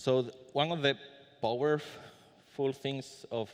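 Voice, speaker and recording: Over a quiet background, a man speaks with a Spanish accent. His pace is very slow. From Spain. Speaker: conference speaker. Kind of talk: conference talk. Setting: conference room with audience. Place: hall. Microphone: podium.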